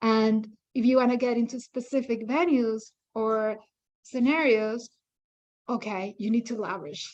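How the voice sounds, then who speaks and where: A woman speaks with a non-native accent at a moderate pace, using ordinary pitch variation. Her loudness swings widely, and her pauses are long and frequent. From outside Canada, newcomer. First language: not English. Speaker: independent curator. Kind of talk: workshop discussion.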